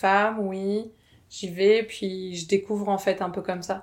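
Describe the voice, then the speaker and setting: A woman speaks at a moderate pace with a medium pitch. The recording is very clean, with a silent background. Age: 30s. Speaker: abuse survivor sharing her story. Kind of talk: testimony. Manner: halting.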